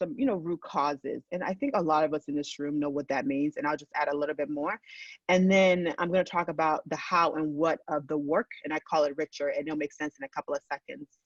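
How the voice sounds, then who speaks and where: Very fast speech with a dry, close sound and no echo. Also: woman, fairly low pitch for a woman, ordinary pitch variation, hardly any pauses. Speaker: researcher. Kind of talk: keynote lecture.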